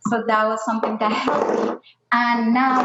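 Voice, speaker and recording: A woman speaks with a Spanish accent at a moderate pace. Her intonation is fairly even. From Colombia. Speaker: scientist. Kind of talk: panel discussion. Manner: hesitant, many fillers.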